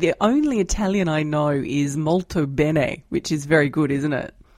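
An Australian-accented woman speaks at a moderate pace in a fairly low pitch with lively intonation. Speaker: financial journalist, podcast host. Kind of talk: interview.

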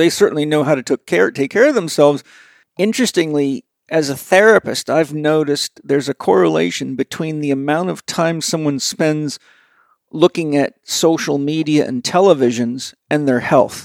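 A man's fairly high voice, a normal speaking voice, with ordinary pitch variation at a moderate pace. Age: 60s. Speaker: podcast host, health coach. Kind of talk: interview conversation; read-out ad.

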